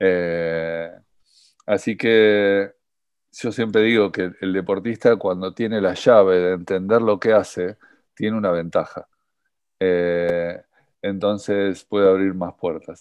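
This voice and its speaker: Speaking very slowly with a Rioplatense accent, a man with a fairly low pitch keeps his intonation fairly even and leaves long, frequent pauses. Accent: Argentine Spanish (Rioplatense voseo). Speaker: rowing coach and podcast host. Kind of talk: interview.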